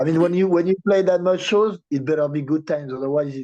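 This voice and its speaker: Ordinary pitch variation marks a man's fairly quick delivery. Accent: French. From France, Paris. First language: French. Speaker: punk band musician. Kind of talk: interview. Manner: halting.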